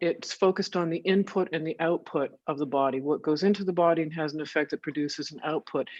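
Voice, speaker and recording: A voice with a Canadian accent over a quiet background. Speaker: researcher. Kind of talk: interview.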